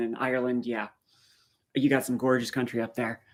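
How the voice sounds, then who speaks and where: On a very clean recording against a silent background, a man is talking. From Maritimes, eastern Canada. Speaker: live streamer. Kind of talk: live stream chat with viewers. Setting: live stream. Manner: casual, conversational.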